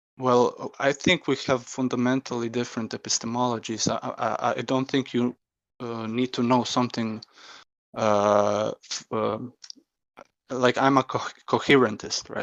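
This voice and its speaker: A man speaks at a fairly slow pace in a non-native accent. His intonation is monotone and flat. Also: medium pitch for a man. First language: not English. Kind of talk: heated debate. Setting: voice chat server. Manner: halting, hesitant.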